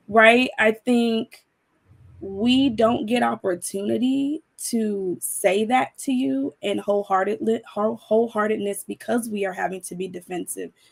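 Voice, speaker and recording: In a plain, everyday voice, a woman speaks at a fairly high pitch with ordinary pitch variation, the sound dry and close with no echo. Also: fairly slow pace. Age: 30s. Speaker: panel discussion guest. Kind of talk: panel discussion.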